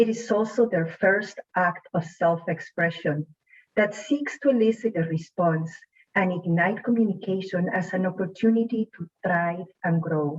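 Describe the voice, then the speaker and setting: The voice is somewhat breathy and moves at a fairly slow pace. Pitch varies in an ordinary way. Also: woman, medium pitch for a woman. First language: not English. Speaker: student speaker. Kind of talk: prepared speech. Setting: online showcase event.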